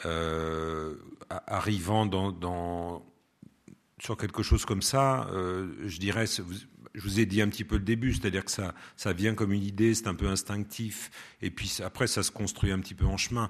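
In front of a quiet background, a man speaks at a fairly slow pace, his fairly low pitch showing ordinary variation. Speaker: radio producer and host, former theatre actor. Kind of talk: public talk with audience Q&A. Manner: expressive, plays with intonation.

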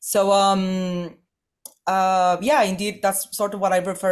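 In a very clean recording with a silent background, a woman speaks at a fairly slow pace. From northern Mexico, Chihuahua. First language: Spanish. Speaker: political analyst. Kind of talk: interview.

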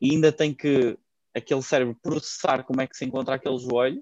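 A man speaks with a European Portuguese accent at a medium pitch and a moderate pace. His intonation is fairly even, and the sound is dry and close with no echo. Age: 20s. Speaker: fitness coach. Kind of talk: interview.

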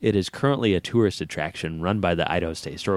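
The clip features a natural reading voice that has ordinary pitch variation.

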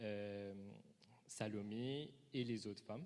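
A man at a very slow pace and fairly low pitch, fairly even in intonation, with audible room echo. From Mauritius. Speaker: preacher. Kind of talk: sermon.

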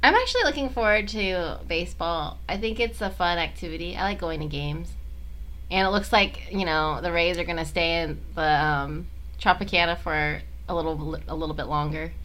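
A woman at a moderate pace, with audible room echo. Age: 20s. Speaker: podcast co-host and stand-up comedian. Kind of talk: casual chat.

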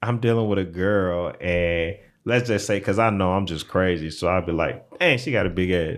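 Fairly low male speech with ordinary pitch variation. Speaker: podcast co-host. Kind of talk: casual chat. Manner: playful, joking.

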